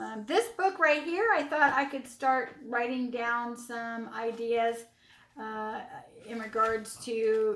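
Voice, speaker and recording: A woman's fairly high-pitched voice is heard with noticeable background noise. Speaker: YouTuber haul vlogger. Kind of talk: product haul video. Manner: casual, halting with fillers.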